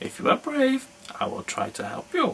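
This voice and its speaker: A high-pitched, put-on character voice over clear background noise. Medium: read story.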